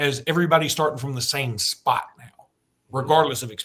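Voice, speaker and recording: This man talks at a fairly quick pace. His pitch variation is ordinary. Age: 50s. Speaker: sports podcast host. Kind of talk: casual chat. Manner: fast; animated.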